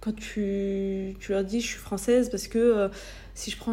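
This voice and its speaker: A woman talks at a moderate pace and medium pitch with fairly even intonation. Her tone is dark and mellow, and somewhat breathy. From France. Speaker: podcaster. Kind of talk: personal monologue. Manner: hesitant, searching for words; conversational, laughing at times.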